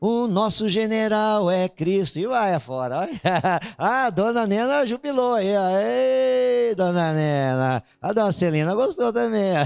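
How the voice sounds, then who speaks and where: Speaking very slowly, a man with a high-pitched voice makes very wide pitch swings. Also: very even loudness. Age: 50s. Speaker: pastor. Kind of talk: sermon. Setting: church.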